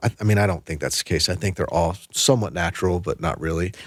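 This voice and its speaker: A man with an American accent has a very deep, low pitch. The recording is very clean, with a silent background. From US Mid-Atlantic, Washington DC area. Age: 40s. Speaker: plastic surgeon. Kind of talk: interview. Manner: hesitant, many fillers and restarts.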